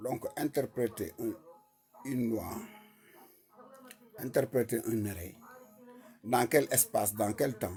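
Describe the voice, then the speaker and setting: The speech comes at a very slow pace with long, frequent pauses. It carries a Senegalese accent. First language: Wolof (speaking French). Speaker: online commentator. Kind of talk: live stream talk.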